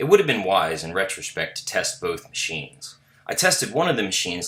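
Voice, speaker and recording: There is noticeable background noise. Over it, a man talks at a very fast pace. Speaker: teacher. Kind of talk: reflective narration. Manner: formal.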